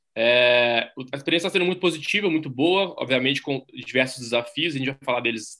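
Speaking with a Minas Gerais accent, a man talks at a fairly quick pace in a medium pitch. His tone is bright and sharp. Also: quiet background. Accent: Brazilian Portuguese, Minas Gerais. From Brazil, Minas Gerais. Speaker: strength and conditioning coach. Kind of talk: interview.

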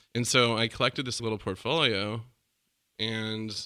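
The voice has an American accent and a bright, sharp tone. The recording is very clean, with a silent background. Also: man. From Minnesota and rural California. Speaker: gallerist. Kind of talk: casual interview chat.

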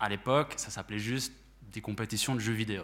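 A man's fairly low-pitched voice has a bright, sharp tone and ordinary pitch variation. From Switzerland, La Chaux-de-Fonds. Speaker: esports manager at sports organisation. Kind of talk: panel talk.

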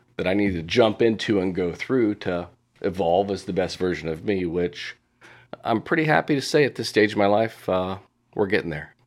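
A man with an unremarkable speaking voice and an American accent talks at a fairly quick pace, his fairly low pitch varying in an ordinary way. The recording is very clean, with a silent background. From Indiana, US Midwest. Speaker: executive coach. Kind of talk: interview.

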